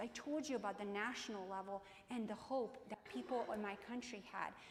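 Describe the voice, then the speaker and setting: An animated woman with a Croatian accent at a moderate pace, amid audible room echo. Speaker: keynote speaker, business professor. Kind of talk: keynote speech. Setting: stage with audience.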